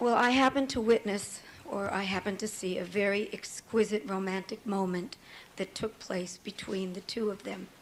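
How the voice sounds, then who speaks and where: Noticeable background noise sits behind this woman's voice. Her pitch is medium, her intonation fairly even and her pace moderate. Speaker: trial witness, songwriter. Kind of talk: witness testimony. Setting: courtroom.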